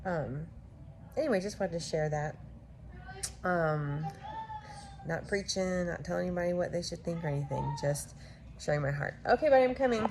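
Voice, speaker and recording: Someone speaks quietly at a fairly quick pace with lively intonation and long, frequent pauses, over noticeable background noise. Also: woman, fairly low pitch for a woman. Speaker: vlogger, mother of a large family. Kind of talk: casual vlog. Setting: at home. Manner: quiet, hushed; hesitant, many fillers.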